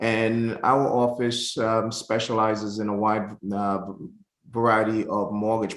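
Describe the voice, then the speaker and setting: A man speaks at a fairly low pitch. His intonation is flat and monotone. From Jamaica. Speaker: mortgage broker. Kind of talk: webinar presentation. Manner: halting, many fillers.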